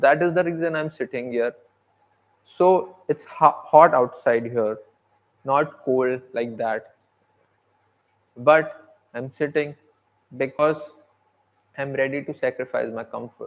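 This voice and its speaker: A man with a non-native accent, fairly high pitch and ordinary pitch variation, at a fairly slow pace with long, frequent pauses. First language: not English. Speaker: aspiring content creator. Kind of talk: livestream monologue. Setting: sitting outside by natural light at home. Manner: halting.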